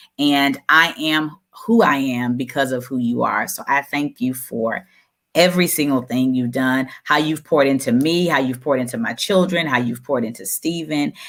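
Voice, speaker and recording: In an American accent, the voice moves at a moderate pace and varies in pitch in an ordinary way. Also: woman, very deep, low pitch for a woman. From Texas, Houston area. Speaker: motivational speaker and show host. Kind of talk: live-streamed interview chat.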